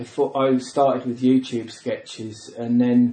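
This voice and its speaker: Speaking at a moderate pace, a man talks with a southern English accent. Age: 40s. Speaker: comedian. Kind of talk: casual chat.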